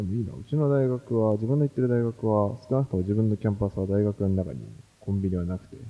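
Speaking at a very fast pace, this man has a fairly low pitch. His loudness swings widely. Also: ordinary pitch variation. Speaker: graduate student and security podcaster. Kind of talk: casual chat.

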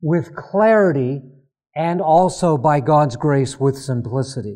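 At a very slow pace, a man with a fairly high pitch and a dark, mellow tone speaks with lively intonation. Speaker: pastor. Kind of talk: sermon. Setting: stage with audience. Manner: halting.

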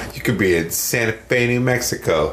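Amid noticeable background noise and audible room echo, a man with an American accent speaks at a moderate pace with ordinary pitch variation. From northern Wisconsin, US Midwest. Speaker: musician and record producer. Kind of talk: casual chat.

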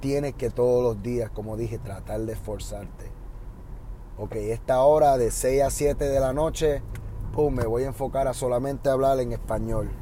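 In a Puerto Rican accent, a man talks at a moderate pace with audible room echo. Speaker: podcast host and Spanish teacher. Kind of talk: casual monologue. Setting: in a car.

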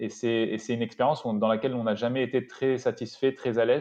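In a quiet background, a man with a dark, mellow tone and medium pitch speaks at a fairly quick pace. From Paris suburbs, France. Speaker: startup co-founder. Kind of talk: interview. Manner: halting, many repetitions.

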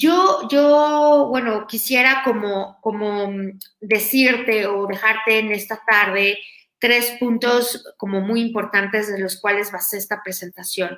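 Very slow pace with ordinary pitch variation. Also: woman, fairly high pitch for a woman. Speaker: podcast host and university lecturer. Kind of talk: talk to students. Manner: halting, many fillers.

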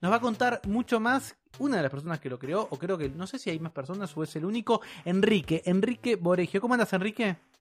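A man with a Rioplatense accent talks at a fairly quick pace and high pitch, with lively intonation, hardly any pauses, and a dry, close sound with no echo. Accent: Argentine Spanish (rioplatense). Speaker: podcast co-host. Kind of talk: casual chat.

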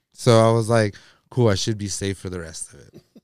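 In a normal speaking voice, a man of medium pitch talks at a fairly quick pace. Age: 30s. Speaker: podcast co-host. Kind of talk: quiz reading; casual chat.

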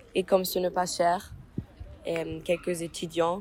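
Very slowly, a woman talks against noticeable background noise. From Germany, Mainz. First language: German (speaking French). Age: 20s. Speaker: university student. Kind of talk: interview. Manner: halting.

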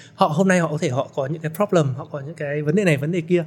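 Fairly high male voice with ordinary pitch variation. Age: 40s. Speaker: entrepreneur. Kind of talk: interview. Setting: studio.

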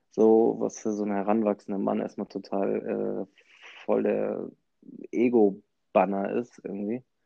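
A man talks at a fairly slow pace. His loudness swings a lot. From Hamburg, northern Germany. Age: 20s. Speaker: podcast host. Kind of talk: casual chat.

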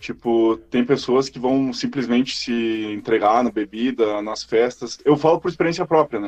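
A man with a normal speaking voice talks at a moderate pace, with hardly any pauses. His pitch is medium and varies in an ordinary way. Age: 20s. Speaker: podcast host. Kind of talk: casual chat.

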